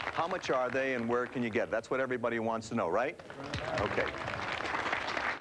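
Loud background noise under a man's moderate pace. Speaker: television pitchman. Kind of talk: infomercial product demonstration. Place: studio. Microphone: lapel.

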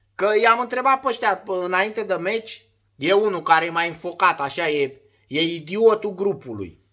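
A man speaks in a high, raised and projected voice with a bright, sharp tone. His delivery is animated, with lively intonation. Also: moderate pace, quiet background. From Romania. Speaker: former footballer turned sports vlogger. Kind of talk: casual monologue vlog. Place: home room. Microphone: phone near.

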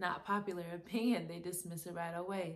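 At a moderate pace, a woman speaks fairly low in pitch with monotone, flat intonation. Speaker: poet. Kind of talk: spoken word poetry reading.

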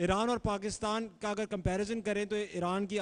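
This man has a high pitch and fairly even intonation. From Pakistan. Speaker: moderator. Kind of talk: question and answer session. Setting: audience event. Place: hall. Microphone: handheld.

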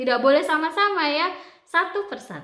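There is audible room echo around this woman's voice. The background is quiet. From Indonesia. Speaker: book club channel host and storyteller; storyteller. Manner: chatty, drawn-out rhetorical questions to the audience; animated and expressive, with exclamations like aduh and wah. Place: home room. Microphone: earbuds.

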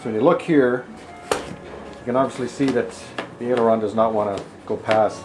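A man speaks with clear music in the background. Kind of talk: tutorial. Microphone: camera far.

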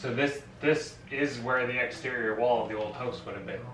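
With audible room echo and noticeable background noise around him, the man keeps his intonation fairly even. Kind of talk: casual explanation. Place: home room. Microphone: camera far.

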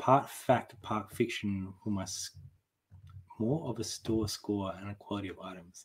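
A man's somewhat breathy voice with a fairly low pitch, ordinary pitch variation, big swings in loudness and a fairly slow pace, in an Australian accent, over a quiet background. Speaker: online reseller, channel co-host. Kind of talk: casual live stream chat. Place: home room.

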